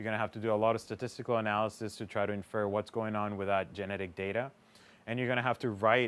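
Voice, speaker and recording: A man's fairly low voice in a Spanish accent, monotone and flat, on a very clean recording with a silent background. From Panama. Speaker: PhD student, fish biologist. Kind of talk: interview monologue.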